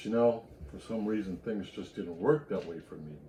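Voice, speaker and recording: With an American accent, a man talks in a medium-pitched voice of dark, mellow tone, his intonation lively. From US South, Louisiana (Acadiana). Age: 60s. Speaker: network marketer, retired military veteran. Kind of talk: personal story told to camera.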